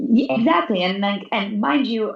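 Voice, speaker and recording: A woman speaks at a fairly slow pace with a fairly high pitch. Her intonation is lively, with vocal fry. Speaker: school counselor and chronic illness advocate. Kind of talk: interview. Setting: remote call from school. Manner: stutters.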